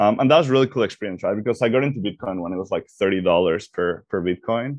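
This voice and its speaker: In a Mexican accent, the speaker talks at a very fast pace with ordinary pitch variation over a quiet background. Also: man. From Mexico. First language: Spanish. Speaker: startup executive. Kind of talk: interview.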